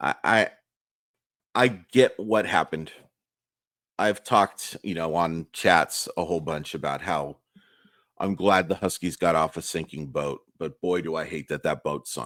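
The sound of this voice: A man speaks at a fairly slow pace in an extremely low, raspy voice with a fairly bright tone and ordinary pitch variation.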